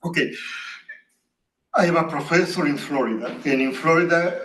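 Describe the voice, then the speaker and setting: With audible room echo around him, a man talks at a moderate pace with fairly even intonation. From Latin America. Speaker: professor. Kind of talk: academic Q&A answer.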